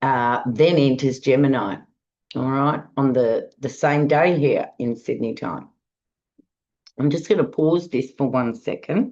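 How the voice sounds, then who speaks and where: A woman with a very deep, low pitch, ordinary pitch variation and a dark, mellow tone at a fairly slow pace. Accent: Australian. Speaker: astrologer. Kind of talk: monologue forecast.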